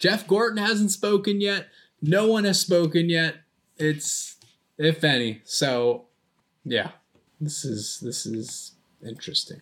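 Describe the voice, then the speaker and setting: A man with an American accent speaks at a very slow pace, leaving long, frequent pauses. His pitch is high and swings very widely. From United States. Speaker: hockey podcast co-host. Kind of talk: casual chat. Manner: animated.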